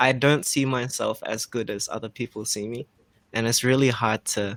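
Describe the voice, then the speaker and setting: Here a man of medium pitch speaks with an Australian accent and fairly even intonation. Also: moderate pace. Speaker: freestyle musician. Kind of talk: interview. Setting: livestream. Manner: halting.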